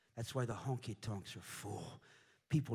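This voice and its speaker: A man talks in an animated tone at a medium pitch. His voice is somewhat breathy, and his pace is moderate. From US Midwest, Indianapolis. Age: 40s. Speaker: missionary preacher. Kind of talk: sermon. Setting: church.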